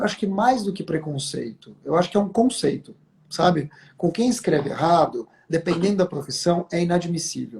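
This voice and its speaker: A man's high voice at a moderate pace, with lively intonation. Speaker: communication expert. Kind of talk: interview.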